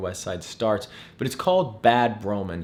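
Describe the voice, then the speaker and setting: Sounding enthusiastic, a man talks fairly quickly at a medium pitch. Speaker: real estate agent vlogger. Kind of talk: casual vlog talk to camera. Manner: stumbling, repeats words.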